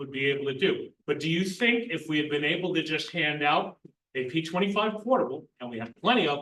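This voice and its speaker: Loud and very fast, the voice has a bright, sharp tone and lively intonation. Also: man. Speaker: emergency communications coordinator. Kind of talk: group meeting discussion.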